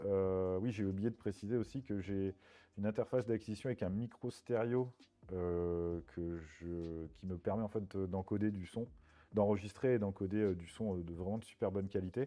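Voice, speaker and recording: This man's pitch is fairly low, with ordinary variation. He talks at a fairly slow pace. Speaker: streamer. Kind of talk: casual chat. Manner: halting, many fillers.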